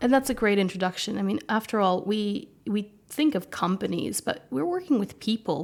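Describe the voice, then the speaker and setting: This woman has a medium pitch and an American accent. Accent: American, soft, slight British intonation. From US, Romanian American household. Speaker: legal expert and communication specialist. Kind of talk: podcast interview. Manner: hesitant, many fillers and repeats.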